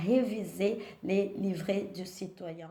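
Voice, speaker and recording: A woman with a strong non-native accent talks at medium pitch with fairly even intonation, and the room echo is audible. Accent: strong foreign accent in French. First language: not French (speaking French). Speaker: vlogger sharing naturalisation experience. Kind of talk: personal vlog with advice. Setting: at home.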